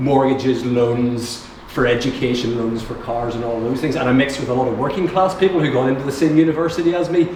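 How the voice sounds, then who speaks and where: Over noticeable background noise and audible room echo, a man with a Northern Irish accent speaks at medium pitch with fairly even intonation. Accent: posh Northern Irish, apologizes for it. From Northern Ireland, Newtownards. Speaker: audience member. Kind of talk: audience comment at panel discussion.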